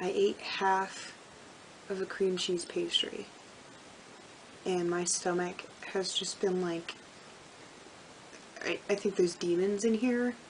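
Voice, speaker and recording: Delivered at a very slow pace with long, frequent pauses, the flat, monotone speech sits over noticeable background noise. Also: woman, medium pitch for a woman. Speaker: book vlogger. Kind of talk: casual talk to camera.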